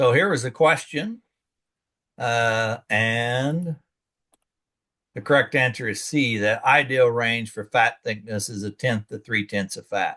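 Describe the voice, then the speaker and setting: At a fairly slow pace with long, frequent pauses, a man speaks at medium pitch in a bright, sharp tone with ordinary pitch variation against a quiet background. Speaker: extension educator. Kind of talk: lecture.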